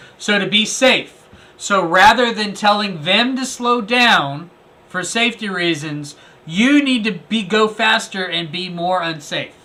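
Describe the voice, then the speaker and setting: A man's high-pitched voice, with ordinary rise and fall, comes through noticeable background noise. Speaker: first amendment auditor and video commentator. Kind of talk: video commentary review. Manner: animated.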